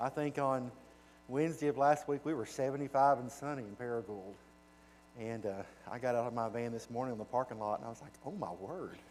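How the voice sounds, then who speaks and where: The voice carries a Southern US accent at a very fast pace. Its pitch varies in an ordinary way. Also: man, medium pitch for a man, big swings in loudness. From US South (Arkansas). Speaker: children's home director, guest speaker. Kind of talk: church presentation. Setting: church. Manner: casual, folksy.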